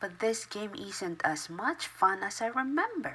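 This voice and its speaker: Fairly slow and medium-pitched, a female-sounding voice performs a put-on character voice. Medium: read story. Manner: glum, slow.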